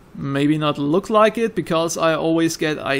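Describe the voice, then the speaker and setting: A man with a German accent talks with lively intonation. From Austria. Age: 20s. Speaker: gaming YouTuber. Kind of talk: casual chat. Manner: improvised, rambling.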